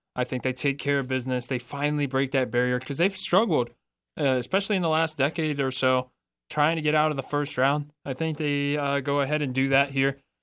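Heard on a very clean recording with a silent background, a man with a normal speaking voice talks at a fairly quick pace and a fairly high pitch. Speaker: radio co-host. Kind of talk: radio DJ patter, casual sports chat. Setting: radio studio, live stream. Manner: easygoing, upbeat, conversational.

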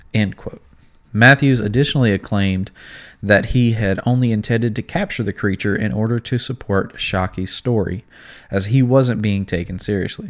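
In a very clean recording with a silent background, a man talks. He has an ordinary speaking voice with a fairly low pitch. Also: ordinary pitch variation, moderate pace. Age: 20s. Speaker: podcast co-host. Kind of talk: reading aloud case narration.

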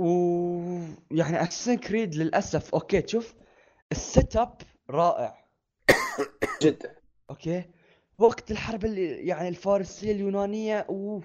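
Long pauses come often in this fairly slow delivery. The pitch moves in an ordinary way. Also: man, high pitch for a man. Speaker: podcast co-host. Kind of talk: casual chat.

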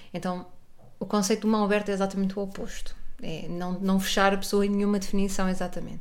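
Audible room echo surrounds a woman speaking at a very fast pace, her medium pitch held in a monotone, flat intonation. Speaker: podcast host. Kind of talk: casual interview chat.

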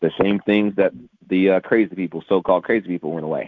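A man's voice at a fairly low pitch. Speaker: natural healing practitioner. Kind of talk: interview.

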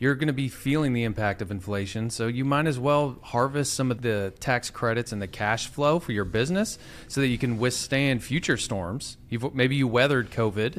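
A man with an unremarkable speaking voice talks at a moderate pace and medium pitch, with ordinary pitch variation and hardly any pauses. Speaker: podcast co-host, accountant. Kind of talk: interview.

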